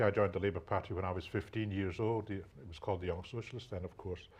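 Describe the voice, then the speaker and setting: A man with a Scottish accent, fairly low pitch, somewhat breathy delivery, fairly even intonation and a very fast pace. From Scotland. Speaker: political party leader. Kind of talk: panel debate.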